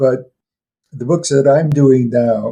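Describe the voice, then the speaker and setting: In a medium pitch, a man speaks fairly slowly with a dark, mellow, somewhat breathy tone and flat, monotone intonation. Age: 80s+. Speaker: retired professor and folklore expert. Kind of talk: interview. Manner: halting, with many fillers.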